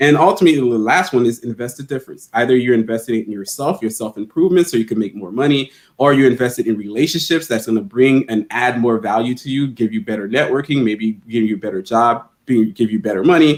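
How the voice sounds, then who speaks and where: Speaking very fast with hardly any pauses, a man with a Haitian-American accent keeps a medium pitch and ordinary pitch variation. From Haiti, then Miami. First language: not English (English is his third language). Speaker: financial literacy educator. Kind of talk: interview. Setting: live stream.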